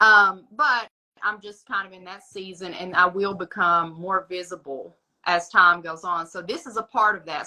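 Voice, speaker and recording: A woman speaks in an East Tennessee accent at medium pitch. Her tone is bright and sharp, and her loudness swings widely. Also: ordinary pitch variation, moderate pace. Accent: Southern US (East Tennessee). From US South, East Tennessee (Smoky Mountains). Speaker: astrologer. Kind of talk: casual chat. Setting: social media live stream.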